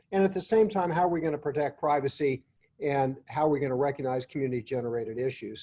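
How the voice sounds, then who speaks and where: The voice has a dark, mellow tone and ordinary pitch variation, delivered at a very fast pace. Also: man. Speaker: professor and former mayor. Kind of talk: webinar presentation. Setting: webinar.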